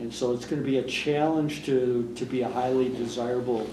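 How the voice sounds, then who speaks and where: A man with a medium pitch is heard with audible room echo and noticeable background noise. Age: 60s. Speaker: retiring foundation director, former newspaper editor. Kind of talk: oral history interview.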